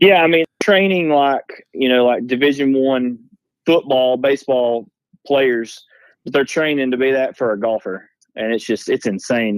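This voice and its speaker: Using a Southern US accent, a man talks at a moderate pace. His pitch is medium, with ordinary variation. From North Alabama. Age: 30s. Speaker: golf teaching pro and hunter. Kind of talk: casual chat. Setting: phone call.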